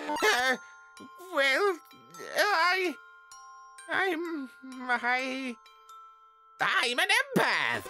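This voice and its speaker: A put-on character voice speaks in a high pitch at a very slow pace, leaving long, frequent pauses. Clear music plays in the background. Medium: dub. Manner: hesitant, stammering.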